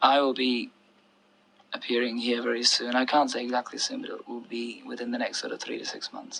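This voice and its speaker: A soft-spoken man whose loudness swings widely. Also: fairly quick pace. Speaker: pop singer. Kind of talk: interview answer.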